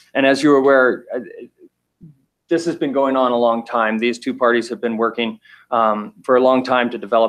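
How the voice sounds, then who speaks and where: Male voice at medium pitch, fairly quick, with fairly even intonation. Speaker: state regulatory agency staff. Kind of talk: public hearing presentation. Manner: hesitant, many fillers; loud.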